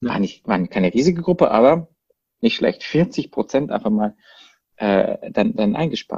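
A man with a Baden accent speaks at a fairly slow pace and fairly high pitch, with vocal fry and very wide pitch swings. The sound is dry and close with no echo. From Baden, southwest Germany (Freiburg). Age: 30s. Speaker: marketing agency co-founder. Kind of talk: casual chat. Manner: halting, many fillers.

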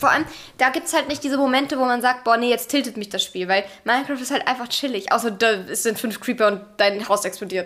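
A woman talks at a very fast pace in a loud, high voice. Her pitch varies in an ordinary way. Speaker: podcast co-host. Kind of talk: casual chat.

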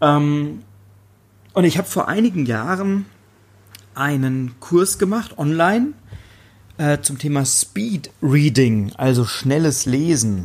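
Very slowly and with lively intonation, a man speaks at a fairly high pitch. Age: 30s. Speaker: podcast host, referral marketing coach. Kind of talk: solo podcast monologue. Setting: on a hotel terrace by the sea.

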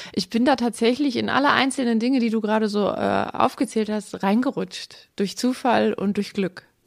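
Speaking at a moderate pace with hardly any pauses, a woman uses a fairly high pitch and fairly even intonation, with vocal fry present. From Aalen, Baden-Württemberg (Swabia). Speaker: veterinarian. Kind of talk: casual interview. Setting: at home on a sofa.

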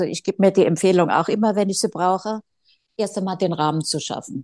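A woman's medium-pitched voice carries a dark, mellow tone. The sound is dry and close with no echo, over a quiet background. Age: 60s. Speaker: style consultant and boutique owner. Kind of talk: casual interview chat.

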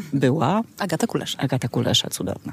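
Over noticeable background noise, a woman with a very deep, low pitch speaks with lively intonation. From Poland, Kraków. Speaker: festival organizer, daughter of a singer. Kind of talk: casual chat. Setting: outdoors in a garden.

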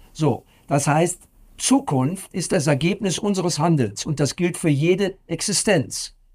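On a very clean recording with a silent background, a man talks at a fairly slow pace in a high pitch, with lively intonation and very even loudness. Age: 60s. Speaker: professor. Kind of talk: interview.

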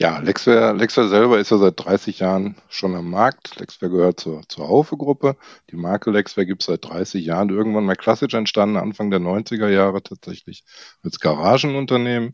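A man talks at a moderate pace in a fairly low voice with ordinary pitch variation. The background is quiet. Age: 60s. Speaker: software product manager. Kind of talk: interview.

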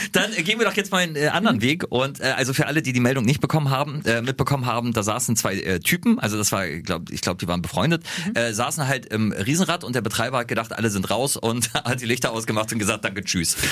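With hardly any pauses, a man rattles along at a very fast pace in a medium pitch and lively intonation. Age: 30s. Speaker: radio host. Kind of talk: casual chat.

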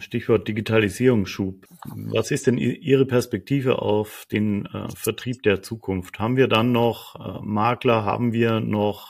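A man speaks fairly slowly at a fairly low pitch, with fairly even intonation. It is a plain, everyday voice. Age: 50s. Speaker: podcast host. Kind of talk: interview.

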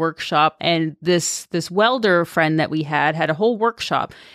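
With a Canadian accent and an unremarkable speaking voice, a woman talks at a moderate pace, fairly low in pitch with ordinary pitch variation, in a very clean recording with a silent background. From Canada, Toronto suburbs. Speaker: motorcycle traveler, former aid worker. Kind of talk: casual interview. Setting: studio.

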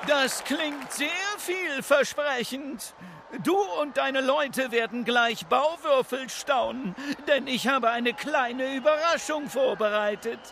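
A man's put-on character voice at an extremely high pitch, bright and sharp in tone, slow with few pauses and ordinary pitch variation, over faint background noise and faint crowd noise

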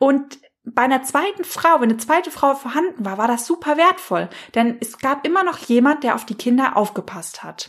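A woman speaks in a high voice with a warm, enthusiastic tone. Her intonation is lively. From Hesse, Germany. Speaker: life coach and podcast host. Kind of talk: solo podcast monologue. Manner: warm and enthusiastic.

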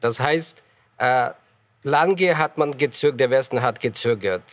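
Pitch moves with ordinary variation. The words come at a fairly slow pace. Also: man. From Ukraine. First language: Ukrainian or Russian (speaking German). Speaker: ambassador. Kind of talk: panel debate. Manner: halting.

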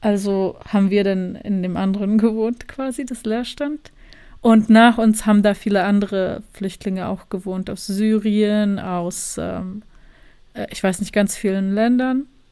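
A woman with a Bosnian accent, medium pitch and a dark, mellow tone, fairly slow and fairly even in intonation, with big swings in loudness, in a very clean recording over a silent background. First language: Bosnian (speaking German). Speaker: journalist and filmmaker. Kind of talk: interview.

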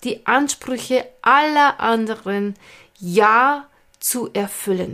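Ordinary pitch variation marks this woman's fairly high-pitched voice. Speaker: podcast host and stress management coach. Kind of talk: monologue. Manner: casual, unscripted.

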